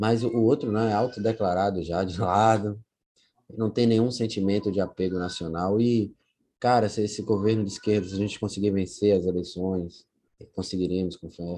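A man with a dark, mellow tone and fairly low pitch speaks at a moderate pace with fairly even intonation. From Brazil, Bahia (Itaparica island near Salvador). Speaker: local historian and socio-environmental project founder. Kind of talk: casual interview.

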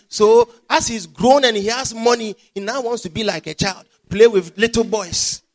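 With music in the background, a man speaks in an animated tone at an extremely high pitch, the sound dry and close with no echo. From Ghana. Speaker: pastor. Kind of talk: sermon.

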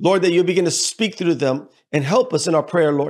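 On a very clean recording with a silent background, a man with a fairly high pitch and a warm tone talks at a fairly quick pace with ordinary pitch variation. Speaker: pastor. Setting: church broadcast program. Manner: fervent, impassioned, pleading, rising intensity; preacherly, warm, with frequent hesitations and repeated words.

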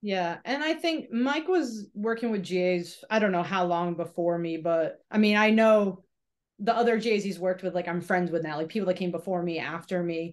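A woman with an American accent has an ordinary speaking voice at medium pitch, with ordinary pitch variation and a moderate pace. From Massachusetts. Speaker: former hammer thrower and sales rep. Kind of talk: casual interview chat.

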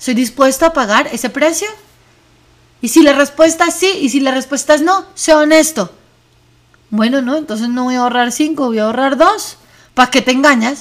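With long, frequent pauses, a woman speaks at a moderate pace in a high pitch. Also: ordinary pitch variation. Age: 40s. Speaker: wellness podcast host. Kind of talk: reflective monologue.

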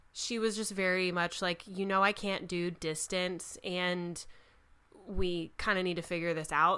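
In a very clean recording with a silent background, a woman speaks at a fairly slow pace in a medium pitch, her tone bright and sharp and her intonation monotone and flat. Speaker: podcast co-host. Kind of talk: casual chat. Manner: talkative.

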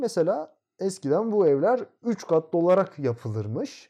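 A man's voice carries a dark, mellow tone over a quiet background. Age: 20s. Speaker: architecture student. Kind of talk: casual interview.

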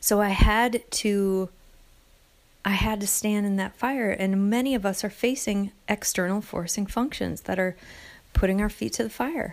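A woman with an American accent uses an ordinary speaking voice at medium pitch. Her intonation is fairly even at a moderate pace, on a very clean recording with a silent background. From US Midwest. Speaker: podcast host. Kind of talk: solo reflective monologue.

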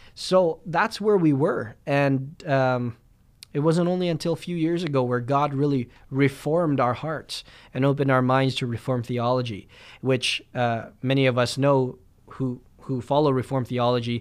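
A plain, everyday voice with a Canadian accent, moving at a moderate pace with ordinary pitch variation. The recording is very clean, with a silent background. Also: man, medium pitch for a man. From Winnipeg, Canada. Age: 20s. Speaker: pastor. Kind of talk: podcast monologue.

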